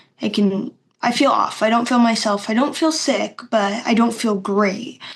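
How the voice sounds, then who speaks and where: In an unremarkable speaking voice, a woman with fairly high pitch talks at a moderate pace, with ordinary pitch variation and very even loudness. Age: 20s. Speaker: podcast guest with chronic illness. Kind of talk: casual interview chat.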